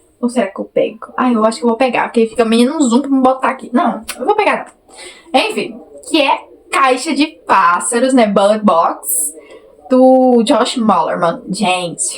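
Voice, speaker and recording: A woman with a high pitch, an animated tone and lively intonation at a fairly slow pace, with noticeable background noise. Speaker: book youtuber. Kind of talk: casual vlog chat. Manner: animated, chatty.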